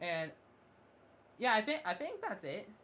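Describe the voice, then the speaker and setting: In a bright, sharp tone, a woman talks at a fairly quick pace. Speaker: gaming youtuber and streamer. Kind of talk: casual video game review monologue. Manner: fast; halting, with frequent restarts and fillers.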